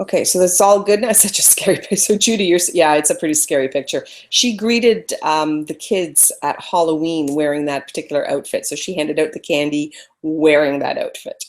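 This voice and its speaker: At a fairly quick pace, a woman talks in a fairly low voice with ordinary pitch variation. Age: 50s. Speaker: photography webinar presenter. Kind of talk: live webinar presentation. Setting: online webinar broadcast. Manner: loud.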